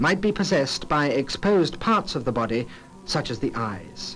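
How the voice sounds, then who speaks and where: Music plays in the background as a man talks at a moderate pace, his pitch swinging very widely. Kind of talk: documentary narration.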